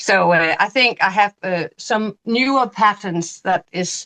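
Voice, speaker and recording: With a Danish accent, this speaker uses lively intonation in a dry, close recording with no echo and a quiet background. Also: woman. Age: 50s. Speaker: knitting podcast co-host and teacher. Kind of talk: casual chat. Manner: halting, hesitant.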